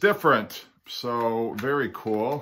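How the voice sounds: A man talks with ordinary pitch variation. His tone is fairly bright.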